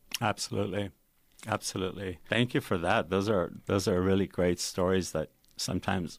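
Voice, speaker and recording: A man with a normal speaking voice talks at a moderate pace, his pitch fairly low. The recording is very clean, with a silent background. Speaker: radio host. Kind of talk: radio interview. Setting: radio studio.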